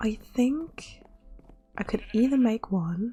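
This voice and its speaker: A soft-spoken woman with ordinary pitch variation over music in the background. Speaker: gamer. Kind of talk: relaxed gameplay commentary.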